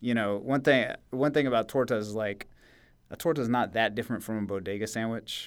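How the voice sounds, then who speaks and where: A normal speaking voice from a man, with ordinary pitch variation, on a very clean recording with a silent background. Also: medium pitch for a man, fairly quick pace. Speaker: podcast co-host. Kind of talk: casual chat. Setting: studio.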